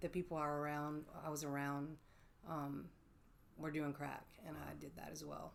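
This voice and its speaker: Here a woman talks at a moderate pace with a Mississippi accent. She leaves long, frequent pauses. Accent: Southern US (Mississippi). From US South, Oxford, Mississippi. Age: 40s. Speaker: person in addiction recovery. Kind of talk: interview testimony. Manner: hesitant, many fillers.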